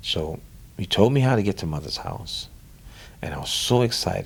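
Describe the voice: A man whispering with vocal fry in a New Orleans accent at a moderate pace. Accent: New Orleans, American South.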